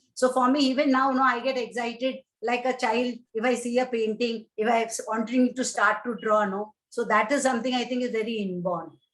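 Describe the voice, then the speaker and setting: The speaker has a Keralan accent and a fairly even intonation. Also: woman, high pitch for a woman, fairly quick pace. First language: Malayalam. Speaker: painter and poet, retired civil servant. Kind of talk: interview. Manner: halting.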